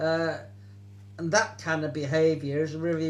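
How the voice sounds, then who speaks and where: A man with a fairly high pitch speaks at a moderate pace, his voice somewhat breathy and his intonation lively. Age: 70s. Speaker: political activist. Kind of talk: interview answer.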